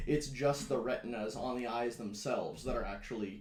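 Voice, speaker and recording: A man's voice, with ordinary pitch variation and a moderate pace, is heard against noticeable background noise. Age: 20s. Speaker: blind gaming YouTuber. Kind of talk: casual Q&A video. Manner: casual with many fillers.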